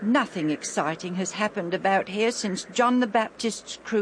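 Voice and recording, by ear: Reading aloud in a natural voice, with ordinary pitch variation throughout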